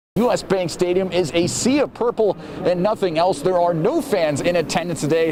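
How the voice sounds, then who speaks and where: The voice has an upbeat, energetic tone, heard over noticeable background noise. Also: man. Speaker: TV sports anchor and reporter. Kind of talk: TV news and sports reporting, anchor and standup delivery. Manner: upbeat, energetic broadcast delivery.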